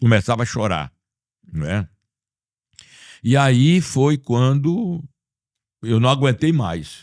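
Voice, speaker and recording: A man speaks very slowly at medium pitch, his voice swinging very widely in pitch, with long, frequent pauses. The recording is very clean, the background silent. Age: 70s. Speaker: bishop. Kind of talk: interview.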